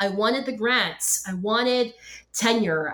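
Woman with a fairly high pitch, ordinary pitch variation and a fairly slow pace, a normal speaking voice. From Philippines and Hong Kong, then Canada from 1999. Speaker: professor and podcast host. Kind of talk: interview conversation. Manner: many fillers and repetitions.

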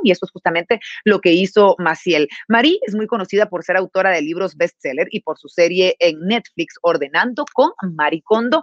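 In an ordinary speaking voice, a woman at medium pitch talks at a moderate pace with lively intonation, the sound dry and close with no echo. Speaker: webinar host. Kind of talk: sponsored livestream hosting. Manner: formal.

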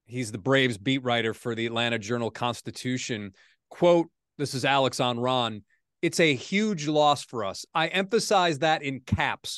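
A man's normal speaking voice, medium in pitch, moderate in pace and lively in intonation. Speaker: sports anchor and podcast host. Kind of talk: casual sports talk podcast.

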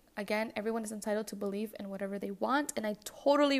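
Fairly high in pitch, a woman speaks with ordinary pitch variation. The recording is very clean, with a silent background. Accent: non-native. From US Midwest, west suburbs of Chicago, Mexican-American family. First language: Spanish. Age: 20s. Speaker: podcast host. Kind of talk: solo podcast monologue.

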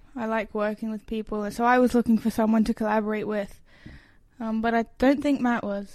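A woman's Australian accent, flat and monotone, at a fairly quick pace on a very clean recording with a silent background. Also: fairly high pitch for a woman. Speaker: musician. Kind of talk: interview.

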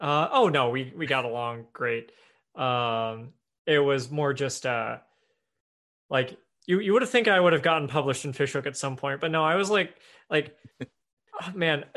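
A man with an American accent speaks in a fairly high pitch and a bright, sharp tone. He leaves long, frequent pauses against a quiet background. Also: ordinary pitch variation, moderate pace. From US Midwest, Evansville, southern Indiana. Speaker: writer and podcaster. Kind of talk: casual interview.

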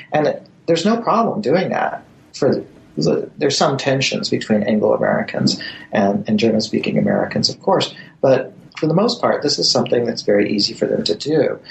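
Speech moves at a fairly quick pace. Noticeable background noise runs underneath. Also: man. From born in Germany to US military family. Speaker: history professor. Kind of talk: interview. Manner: halting.

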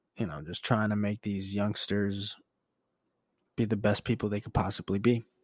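A man with a fairly low pitch speaks at a moderate pace with fairly even intonation, big swings in loudness and long, frequent pauses. The sound is dry and close with no echo. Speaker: podcast host and teacher. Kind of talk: casual solo monologue. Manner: soft-spoken; casual, profane.

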